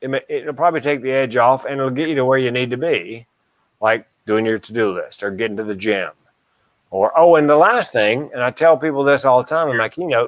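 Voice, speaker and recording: A man speaks in a normal speaking voice at a medium pitch and fairly quick pace, with ordinary pitch variation. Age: 60s. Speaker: comedian and mental health speaker. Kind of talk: casual chat.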